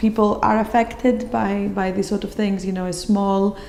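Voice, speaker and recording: Talking at a moderate pace, a woman with a Greek accent keeps her intonation flat and monotone. Noticeable background noise and audible room echo fill the recording. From Greece. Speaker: gallery visitor. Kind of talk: interview comments. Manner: hesitant, many fillers.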